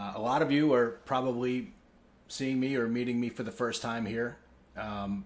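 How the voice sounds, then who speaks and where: With an American accent, a man talks at a moderate pace and medium pitch, his intonation fairly even. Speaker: company executive. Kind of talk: town hall address. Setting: company town hall.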